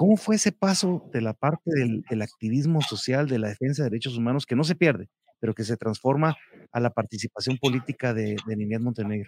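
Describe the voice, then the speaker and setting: Dry and close with no echo, this recording captures a man at medium pitch. He has a plain, everyday voice. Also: lively intonation, fairly quick pace. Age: 50s. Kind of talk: interview.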